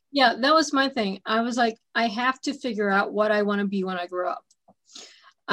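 In a normal speaking voice, a woman with a fairly high pitch talks at a moderate pace with ordinary pitch variation. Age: 30s. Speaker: radio host. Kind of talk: interview.

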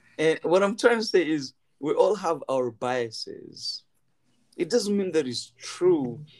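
A man speaks at a fairly slow pace with very wide pitch swings. His loudness swings widely too. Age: 40s. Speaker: scientist. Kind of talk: casual chat.

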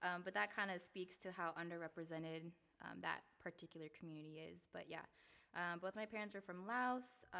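A plain, everyday voice: a woman with an American accent, fairly low in pitch, at a fairly quick pace with ordinary pitch variation. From Seattle (South Seattle, Rainier Beach). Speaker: K-12 teacher. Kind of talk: casual interview.

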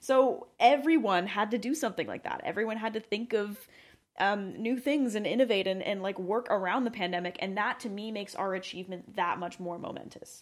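A normal speaking voice from a woman: medium pitch, ordinary variation in pitch, fairly quick pace. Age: 20s. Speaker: podcast co-host. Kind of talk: casual chat. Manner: frequent laughter.

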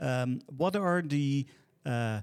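A man has an unremarkable speaking voice at medium pitch with ordinary pitch variation. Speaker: podcast host. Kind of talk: podcast panel discussion.

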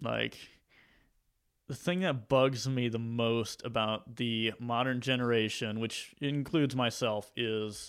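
Someone speaks very slowly in a Southern US accent. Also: man, very clean recording, silent background. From US South, Mississippi. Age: 20s. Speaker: YouTube maker. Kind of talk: casual chat. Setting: studio.

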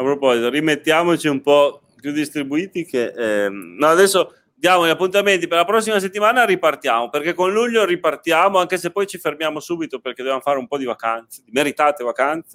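A man's fairly high voice at a very fast pace, hardly any pauses and lively intonation, with a dry, close sound and no echo. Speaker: podcast host. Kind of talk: casual chat. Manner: talkative.

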